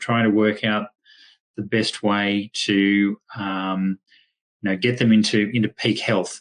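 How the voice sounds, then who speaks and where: A man speaks with an Australian accent. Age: 60s. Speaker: veterinarian. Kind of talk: webinar presentation. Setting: online webinar. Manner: hesitant, many fillers.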